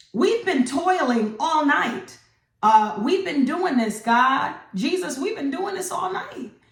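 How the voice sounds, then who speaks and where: With very wide pitch swings and an animated tone, the voice moves at a moderate pace amid audible room echo. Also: woman. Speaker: online Bible teacher. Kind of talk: devotional teaching.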